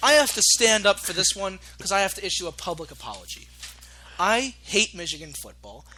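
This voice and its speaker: Shouting at a fairly quick pace with big swings in loudness, the voice rises over noticeable background noise. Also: man. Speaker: sports talk show host. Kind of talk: casual sports chat. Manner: loud, yelling; animated.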